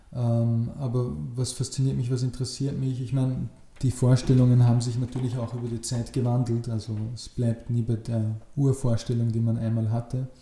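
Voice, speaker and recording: A man at medium pitch, with monotone, flat intonation and a moderate pace, over noticeable background noise. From Upper Austria, rural. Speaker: political scientist. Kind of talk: interview. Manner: hesitant, many filler sounds.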